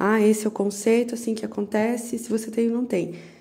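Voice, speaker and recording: A woman's somewhat breathy, fairly high voice with a dark, mellow tone. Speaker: holistic therapist. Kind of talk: personal reflection monologue. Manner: casual, conversational.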